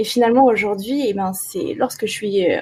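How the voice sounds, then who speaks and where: At a moderate pace, a woman speaks with fairly high pitch, ordinary pitch variation, and a dark, mellow, somewhat breathy tone. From France, Ardèche. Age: 30s. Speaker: wedding and underwater photographer. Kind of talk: interview.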